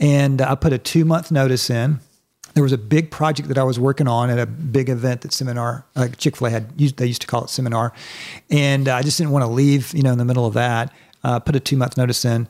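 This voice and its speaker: An ordinary speaking voice with an American accent at a fairly quick pace. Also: man. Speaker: church staff leader. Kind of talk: casual chat.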